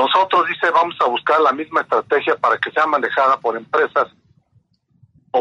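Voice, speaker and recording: The recording sounds dry and close, free of echo. A man speaks at a moderate pace. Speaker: reporter. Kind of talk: news report. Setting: phone call.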